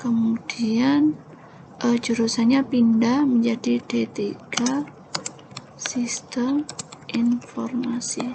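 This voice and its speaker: Soft-spoken and at a very slow pace, a woman with a fairly high pitch and ordinary pitch variation talks over noticeable background noise. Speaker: lecturer. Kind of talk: tutorial. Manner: halting.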